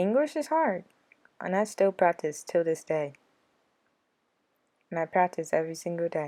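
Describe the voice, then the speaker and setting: A woman's fairly low-pitched voice with a dark, mellow tone, ordinary pitch variation and long, frequent pauses, on a very clean recording with a silent background. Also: moderate pace. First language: American Sign Language. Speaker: vlogger. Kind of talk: casual vlog talk to viewers.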